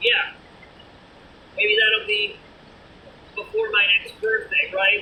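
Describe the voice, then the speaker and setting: A woman with a Boston accent speaks at a very slow pace. Noticeable background noise runs behind her. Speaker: vlogger. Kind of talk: casual vlog monologue.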